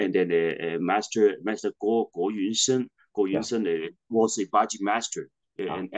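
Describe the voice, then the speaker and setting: A man with a Hong Kong accent speaks in a fairly low voice. His pitch varies normally against a quiet background. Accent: Hong Kong Cantonese-accented English. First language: Cantonese. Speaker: martial arts master and Buddhist priest. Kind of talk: interview. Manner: halting, repetitive phrasing. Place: home room. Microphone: video call.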